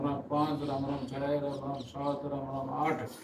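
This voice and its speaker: A fairly high-pitched man speaks with monotone, flat intonation. There is noticeable background noise and audible room echo. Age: 60s. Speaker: vlogger. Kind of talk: motivational talk. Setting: at home in bed.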